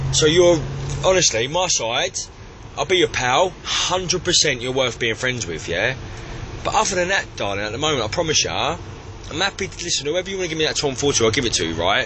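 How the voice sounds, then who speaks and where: Over noticeable background noise, a man with a Cockney accent talks at a fairly quick pace, fairly high in pitch, with lively intonation. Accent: East London Cockney. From East London. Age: 20s. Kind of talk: drunken voicemail message. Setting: phone line. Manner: arrogant, ranting.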